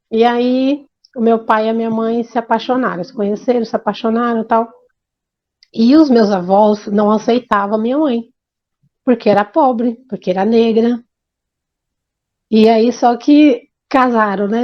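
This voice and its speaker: At a fairly slow pace and with long, frequent pauses, a woman speaks in a fairly high pitch. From Brazil, Bahia. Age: 50s. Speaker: interviewee telling life story. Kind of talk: life story testimony. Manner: halting, with repetitions and restarts.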